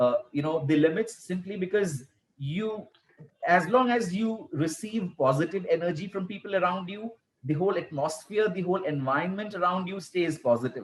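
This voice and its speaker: His voice is high for a man, with ordinary pitch variation and a moderate pace. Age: young. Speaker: school principal. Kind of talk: interview. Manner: soft-spoken.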